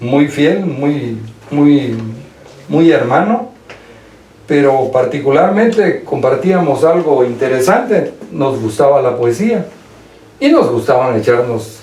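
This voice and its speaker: Lively intonation comes at a very slow pace with long, frequent pauses and very even loudness, along with audible room echo and noticeable background noise. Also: man, fairly high pitch for a man. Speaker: lawyer, former classmate. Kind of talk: radio interview.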